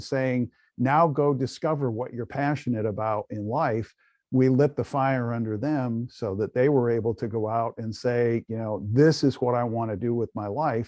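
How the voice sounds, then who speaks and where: In a dry, close sound with no echo and a quiet background, a man with a medium pitch and a dark, mellow tone speaks at a moderate pace. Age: 60s. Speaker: podcast host and life coach. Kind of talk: casual interview conversation. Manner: energetic.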